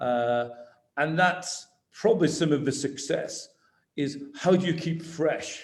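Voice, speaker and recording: A man's fairly high voice with a Lancashire accent, ordinary pitch variation, and audible room echo. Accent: Wigan. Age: 60s. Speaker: business executive. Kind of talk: online talk to students. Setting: video call.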